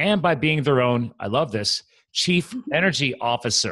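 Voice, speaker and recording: A man speaks with very wide swings in pitch against a quiet background. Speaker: podcast host. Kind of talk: podcast host introduction. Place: home room. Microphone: studio mic.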